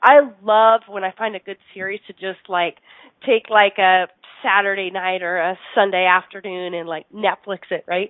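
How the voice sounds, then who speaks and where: Speaking at medium pitch and a moderate pace, a woman keeps fairly even intonation while her loudness swings widely. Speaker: radio host. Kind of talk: casual chat. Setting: studio.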